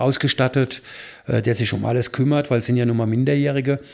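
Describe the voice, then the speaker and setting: A man with a normal speaking voice and a medium pitch keeps a moderate pace and fairly even intonation. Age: 60s. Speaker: charity founder and photographer. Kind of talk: casual chat.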